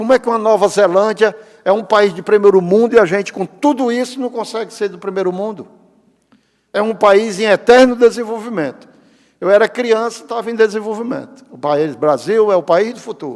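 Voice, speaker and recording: A man with a high pitch talks at a fairly quick pace, showing ordinary pitch variation and big swings in loudness. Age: 60s. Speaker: public pension agency head. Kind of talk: lecture. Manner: animated.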